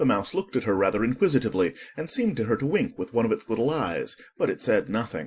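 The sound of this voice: The voice reads in an unforced way.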